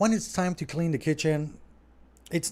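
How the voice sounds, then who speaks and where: This man speaks in a French accent at a moderate pace. His tone is dark and mellow. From Quebec, Montreal. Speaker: restaurant owner. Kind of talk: live stream Q&A. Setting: home studio. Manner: casual, conversational.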